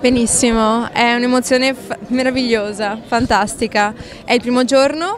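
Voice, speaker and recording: Against noticeable background noise, the voice moves at a moderate pace with fairly even intonation. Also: woman, high pitch for a woman. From Veneto, Mestre (Venice area). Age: 20s. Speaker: pageant contestant. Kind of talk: street interview.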